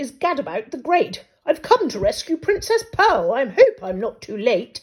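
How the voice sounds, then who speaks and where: A woman's put-on character voice, extremely high-pitched, with very wide pitch swings at a moderate pace. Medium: read story. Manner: pompous.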